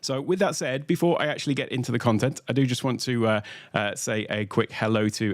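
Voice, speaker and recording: A man with lively intonation at a fairly quick pace, in a very clean recording with a silent background. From UK. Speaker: tech educator, workshop host. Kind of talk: livestream tutorial. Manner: many filler uhs.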